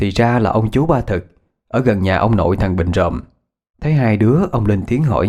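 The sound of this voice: Lively intonation fills an unforced reading voice against a quiet background.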